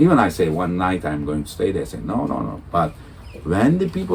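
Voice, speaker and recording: Over noticeable background noise, a man with a Turkish accent speaks at a moderate pace. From Turkey. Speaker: world touring cyclist. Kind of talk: interview. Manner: halting.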